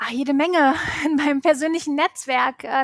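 Against a silent background in a very clean, dry, close recording with no echo, a high-pitched woman speaks at a moderate pace with monotone, flat intonation. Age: 40s. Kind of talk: interview. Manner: hesitant, many filler sounds.

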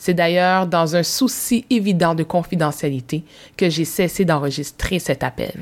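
A woman with an unremarkable speaking voice talks fairly slowly at a fairly low pitch, with ordinary pitch variation and very even loudness. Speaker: podcast host. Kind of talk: narration and interview.

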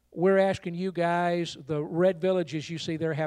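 A man with a Southern US accent talks at a high pitch and a moderate pace. His intonation is monotone and flat, and the background is quiet. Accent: Southern US (Georgia). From US South, Georgia. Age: 60s. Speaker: pastor and missions leader. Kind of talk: sermon. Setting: church with congregation.

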